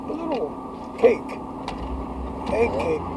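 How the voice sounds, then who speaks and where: Noticeable background noise is present in this clip. Over it, a man talks fairly slowly. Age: 80s+. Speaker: war veteran. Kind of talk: casual chat. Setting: in a car. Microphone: poor audio quality.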